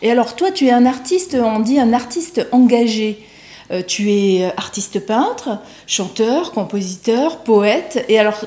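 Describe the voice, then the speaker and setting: A woman speaks very slowly at a fairly high pitch with lively intonation, against noticeable background noise. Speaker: TV morning show host. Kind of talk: TV interview questions.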